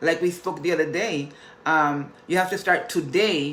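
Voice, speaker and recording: A woman's very deep, low voice in a Spanish accent, at a moderate pace with fairly even intonation, with audible room echo. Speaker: motivational vlogger. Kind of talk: motivational talk.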